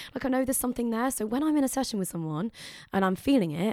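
A woman's fairly high voice at a very fast pace, with ordinary pitch variation. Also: very clean recording, silent background. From Leicestershire, England. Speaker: singer-songwriter. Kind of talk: casual interview chat. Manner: fast talker, gets louder.

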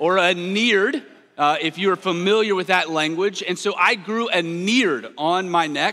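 A man's raised, projected voice, high-pitched, with a Southern US accent, ordinary pitch variation, and a very clean recording against a silent background. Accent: Southern American. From US South. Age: 30s. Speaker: pastor. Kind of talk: sermon. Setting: church.

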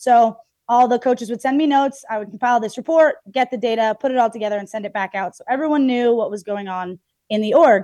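A woman's fairly high voice, very fast, with ordinary pitch variation, dry and close with no echo, over a quiet background. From Canadian prairies, Red Deer, Alberta. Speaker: softball and baseball player. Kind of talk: interview. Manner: animated.

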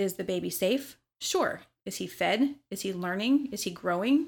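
A normal speaking voice from a woman with an American accent, medium in pitch, with lively intonation, on a very clean recording with a silent background. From US South, Memphis, Tennessee. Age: 30s. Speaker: bartender. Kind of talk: casual chat.

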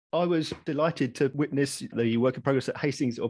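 A man talks in an ordinary speaking voice at a fairly quick pace. His pitch is fairly high, with ordinary pitch variation. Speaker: podcast host. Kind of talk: casual interview chat.

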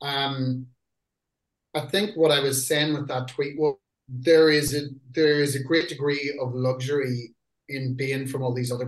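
A man speaks with a Northern Irish accent and a somewhat breathy voice. His intonation is fairly even, but his loudness swings a lot. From Northern Ireland. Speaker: metal band lyricist and singer. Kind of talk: interview. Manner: casual.

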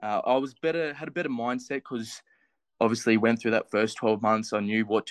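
With an Australian accent, a man speaks at medium pitch with ordinary pitch variation, the sound dry and close with no echo against a quiet background. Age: 20s. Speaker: physiotherapy student, fitness challenge finalist. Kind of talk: casual interview.

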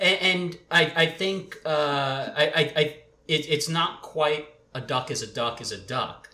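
Audible room echo surrounds a man speaking at a very slow pace. His pitch varies in an ordinary way. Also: fairly high pitch for a man. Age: 30s. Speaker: employment attorney. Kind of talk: casual panel discussion.

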